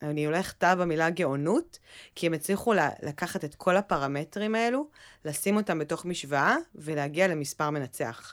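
This woman has an unremarkable speaking voice, fairly low in pitch, with ordinary pitch variation at a moderate pace on a very clean recording with a silent background. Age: 30s. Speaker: podcast co-host, content manager. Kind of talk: casual chat.

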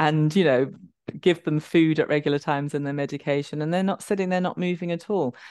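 A woman talks very fast in a London accent. Her pitch is very deep and low. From London, England. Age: 50s. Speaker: somatic movement educator and author. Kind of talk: interview conversation.

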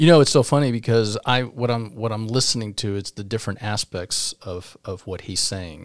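An unremarkable speaking voice of a man, medium in pitch with ordinary pitch variation, at a moderate pace with hardly any pauses and big swings in loudness, dry and close with no echo in a very clean recording with a silent background. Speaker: podcast host. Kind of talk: casual interview chat.

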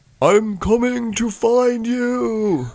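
Using a put-on character voice, a man performs. He pitches it extremely high. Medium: actual play. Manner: earnest, friendly.

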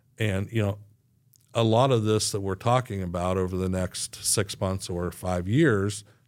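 Recorded very cleanly against a silent background, a man with a fairly low pitch talks at a fairly slow pace with fairly even intonation. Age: 60s. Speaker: economic development director. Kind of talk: casual interview. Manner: halting, many fillers and repeats.

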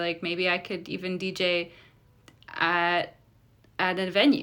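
Heard in a very clean recording with a silent background, the voice has a bright, sharp tone, a Midwestern American accent and a fairly slow pace. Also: woman. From US Midwest, Metro Detroit (Polish immigrant family). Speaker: radio DJ. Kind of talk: casual interview.

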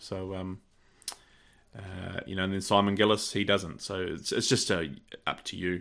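This man speaks with a New Zealand accent, at a very deep, low pitch and a moderate pace. His tone is bright and sharp, broken by long, frequent pauses. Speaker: podcast co-host, shooting competitor. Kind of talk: casual chat.

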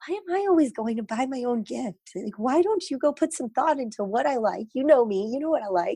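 A woman at a high pitch with very wide pitch swings, a dark, mellow tone, and a fairly quick pace, dry and close with no echo over a quiet background. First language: Gujarati. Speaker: parent of a child with ADHD. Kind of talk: interview.

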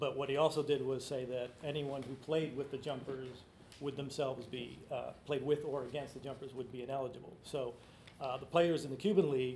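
With monotone, flat intonation and an American accent, a man speaks at medium pitch amid audible room echo and noticeable background noise. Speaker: author and sports writer. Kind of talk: book talk interview. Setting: live event with audience.

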